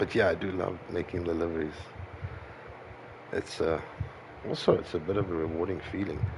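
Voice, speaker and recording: Very deep and low, a man's voice carries a non-native accent and a monotone, flat intonation. He moves at a fairly quick pace yet takes long, frequent pauses. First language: not English. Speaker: sim racing streamer. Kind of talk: casual livestream chat while gaming. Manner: halting.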